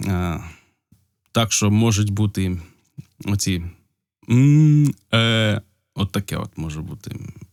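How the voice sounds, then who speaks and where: The man talks at a very slow pace, with long, frequent pauses and ordinary pitch variation. His sound is dry and close with no echo, on a very clean recording with a silent background. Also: fairly low pitch for a man. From Ukraine, Polissia region. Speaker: video blogger. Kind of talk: casual unscripted talk to camera. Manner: hesitant, with pauses.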